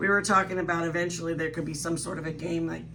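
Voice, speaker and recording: A woman talks very fast in a fairly low pitch, with audible room echo and noticeable background noise. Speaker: guest co-host. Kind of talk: casual chat. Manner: animated.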